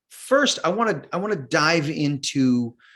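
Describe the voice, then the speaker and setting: Here the pitch rises and falls over a very wide range. It is a very clean recording with a silent background. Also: man. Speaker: acting coach. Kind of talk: podcast host interview.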